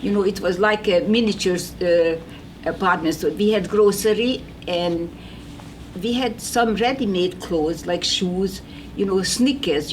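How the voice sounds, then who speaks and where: Speech in a non-native accent at a moderate pace, with ordinary pitch variation and noticeable background noise. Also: woman. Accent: foreign. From Hungary. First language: Hungarian. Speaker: Holocaust survivor. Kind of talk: testimony. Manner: halting.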